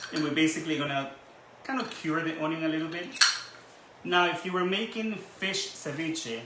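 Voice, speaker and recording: A man with a fairly high pitch speaks at a moderate pace with ordinary pitch variation and long, frequent pauses, amid noticeable background noise and audible room echo. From Ecuador, Guayaquil. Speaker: cooking channel host. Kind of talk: cooking tutorial. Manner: casual, with some hesitations.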